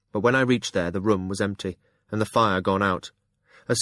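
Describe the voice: This plain reading aloud has ordinary pitch variation against a quiet background.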